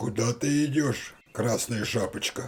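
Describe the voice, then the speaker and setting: Using a raspy, cartoonish character voice, a man talks at a moderate pace and medium pitch. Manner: sly, coaxing.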